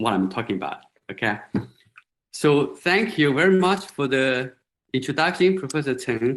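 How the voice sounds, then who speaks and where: A man of medium pitch speaks with a Chinese accent. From China, Hunan countryside. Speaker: professor. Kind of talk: lecture. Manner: halting, many fillers.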